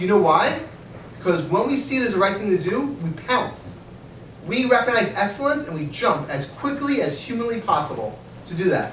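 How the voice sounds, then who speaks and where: Over noticeable background noise and audible room echo, a man speaks in an animated tone at a high pitch, with very wide pitch swings. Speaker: rabbi and organization director. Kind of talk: speech at annual meeting. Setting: meeting with audience. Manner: fast.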